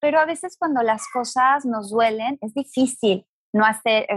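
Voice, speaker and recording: A woman's normal speaking voice, fairly high, with lively intonation and a fairly slow pace, in a dry, close sound with no echo. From Mexico, Guadalajara. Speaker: astrologer and spiritual teacher. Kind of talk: interview conversation.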